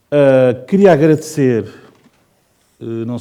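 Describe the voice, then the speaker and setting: A man's voice with a dark, mellow tone. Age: 60s. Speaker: designer and illustrator. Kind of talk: informal talk to students. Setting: presidential palace event with student audience.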